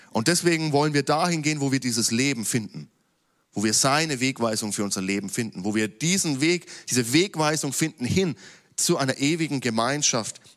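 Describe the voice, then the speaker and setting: On a very clean recording with a silent background, a man with an ordinary speaking voice talks at a fairly quick pace at a medium pitch. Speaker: preacher. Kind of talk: sermon in a church service, teaching from scripture. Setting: church. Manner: formal, earnest, teaching tone; lively, with light jokes to the congregation.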